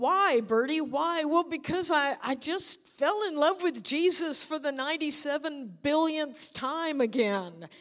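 A woman speaks at a very slow pace with lively intonation. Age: 60s. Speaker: preacher. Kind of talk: sermon. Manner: animated.

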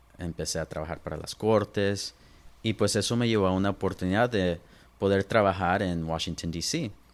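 Here is a man with a normal speaking voice, fairly low in pitch. His pitch varies in an ordinary way at a moderate pace. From Los Angeles and Inland Empire, California. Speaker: lawyer. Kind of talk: interview.

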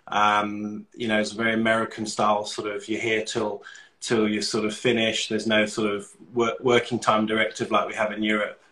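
A man with a fairly low pitch and a bright, sharp tone talks at a fairly quick pace in a monotone with flat intonation. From London, England. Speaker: cosmetic doctor. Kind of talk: casual interview.

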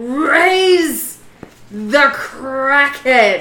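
In a put-on character voice, a female-sounding speaker shouts and bellows at a high pitch. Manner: bellowing, shouted.

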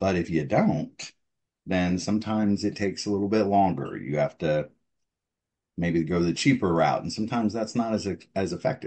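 A man with an American accent speaks in a plain, everyday voice, fairly low in pitch, with ordinary pitch variation at a moderate pace. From Texas. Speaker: oil and gas veteran. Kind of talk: interview.

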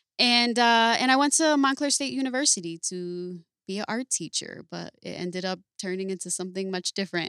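A woman with an American accent talks at a fairly quick pace with hardly any pauses. She has a plain, everyday voice at medium pitch with lively intonation, in a dry, close sound with no echo. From Paterson, New Jersey. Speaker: tattoo artist. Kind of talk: casual interview. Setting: tattoo shop.

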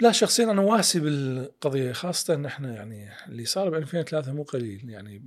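A man talks with lively intonation on a very clean recording where the background is silent. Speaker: political and economic analyst. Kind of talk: interview discussion.

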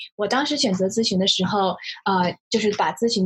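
A woman's fairly high voice at a fairly quick pace, a normal speaking voice. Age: 20s. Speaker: new management consultant. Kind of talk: casual chat.

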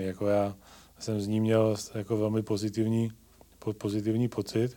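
Speaking at a moderate pace, a man uses a dark, mellow tone with flat, monotone intonation. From South Moravia, Czechia. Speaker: hospital executive. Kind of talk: casual interview.

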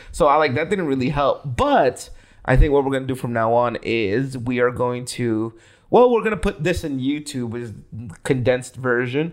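Speaking in a plain, everyday voice, a man keeps a moderate tempo. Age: 30s. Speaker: podcast host. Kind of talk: casual chat.

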